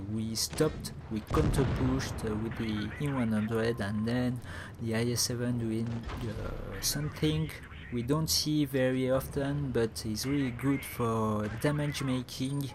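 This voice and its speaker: There is audible room echo as a man talks at a fairly slow pace with ordinary pitch variation. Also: medium pitch for a man. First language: not English. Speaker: gaming commentator. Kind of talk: gameplay commentary. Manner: halting, many fillers.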